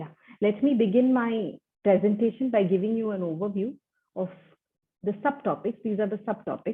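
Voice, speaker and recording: Using an Indian accent, a woman speaks at medium pitch and a fairly quick pace. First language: Tulu. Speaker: academic researcher. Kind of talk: conference presentation. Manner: formal.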